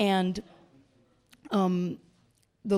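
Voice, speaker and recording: This woman speaks with a New York accent. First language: not English. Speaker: performance artist. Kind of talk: onstage interview. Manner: animated.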